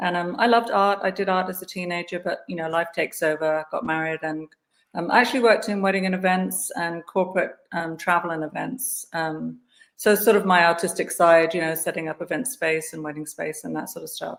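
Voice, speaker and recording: This woman has a fairly low pitch and an English accent. She talks at a fairly quick pace with ordinary pitch variation. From England, Guildford near London. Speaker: artist. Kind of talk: interview. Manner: hesitant, many fillers.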